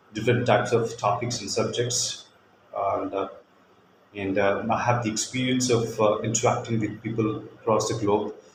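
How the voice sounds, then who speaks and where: Male voice in an Indian accent, monotone, flat intonation, with audible room echo. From India, Kolkata. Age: 40s. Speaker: teacher. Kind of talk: demo lesson. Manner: hesitant, many fillers.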